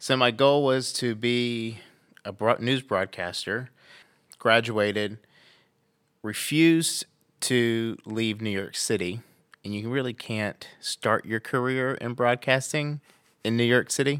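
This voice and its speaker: On a very clean recording with a silent background, a man with an American accent speaks at a very slow pace with long, frequent pauses. His pitch is medium and his intonation fairly even. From US South, southeast Arkansas then Florida. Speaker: lawyer, podcast guest. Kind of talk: interview.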